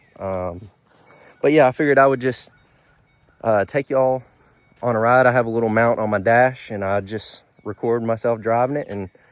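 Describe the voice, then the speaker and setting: A man speaks at a medium pitch with an Alabama accent. His pace is moderate and his intonation fairly even. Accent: Southern US (Alabama). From Alabama (US South). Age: 20s. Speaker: auto mechanic and car vlogger. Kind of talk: casual vlog chat. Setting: in a car. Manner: hesitant, many fillers.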